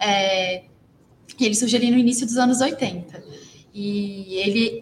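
A woman with ordinary pitch variation, over noticeable background noise. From Brazil, Belo Horizonte, Minas Gerais. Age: 20s. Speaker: filmmaker. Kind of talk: interview.

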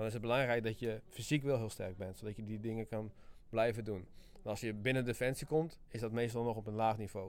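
A man speaks at a fairly quick pace in a normal speaking voice. His medium pitch carries fairly even intonation. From Friesland, Netherlands. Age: 20s. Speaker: army sergeant and sports instructor. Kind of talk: interview.

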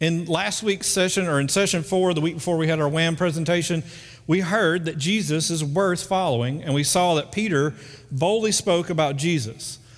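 In a north Alabama accent, a man speaks at a high pitch and moderate pace, with ordinary pitch variation and very even loudness. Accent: Southern US (north Alabama). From US South, northern Alabama (Muscle Shoals). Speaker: pastor. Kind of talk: sermon. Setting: church. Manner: casual, conversational.

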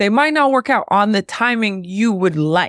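This woman talks at a fairly quick pace with ordinary pitch variation and a normal speaking voice, recorded very cleanly with a silent background and a dry, close sound with no echo. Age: 30s. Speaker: creative agency founder. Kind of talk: interview.

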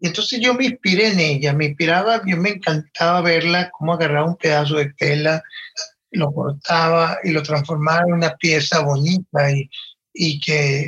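A fairly high-pitched man's voice at a moderate pace, with ordinary pitch variation and very even loudness. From Venezuelan Andes (Valera, Trujillo). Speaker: fashion designer. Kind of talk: interview.

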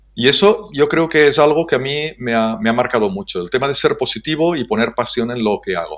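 A man's fairly high voice, fairly quick with hardly any pauses, full of very wide pitch swings. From Spain, Ebro Delta (Catalonia). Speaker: business development manager. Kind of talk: interview.

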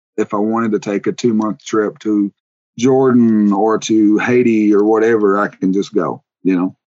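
The man's voice sits at a fairly low pitch. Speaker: podcast guest, online reseller. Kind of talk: casual, conversational. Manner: fast talker.

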